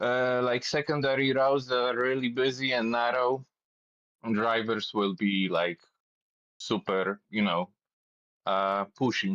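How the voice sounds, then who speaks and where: In a Polish accent, a man speaks at a fairly slow pace with long, frequent pauses, his pitch medium with ordinary variation. The sound is dry and close with no echo. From Poland, Warsaw. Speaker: cyclist. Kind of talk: casual chat. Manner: halting, repeats words.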